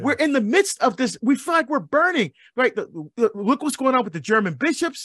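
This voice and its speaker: A man's extremely high, energetic and animated voice with very wide pitch swings at a fairly quick pace, dry and close with no echo, on a very clean recording with a silent background. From Barbados. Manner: animated, rising call-and-response rhythm with hammering repeated questions.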